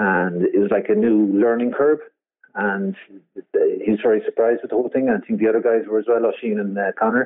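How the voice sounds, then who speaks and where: A man talks in a Cork accent. His pitch sits in the medium range. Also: ordinary pitch variation, fairly quick pace. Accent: Cork Irish. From Cork, Ireland. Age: 60s. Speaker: yacht owner and skipper. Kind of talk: interview. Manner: halting, repetitive.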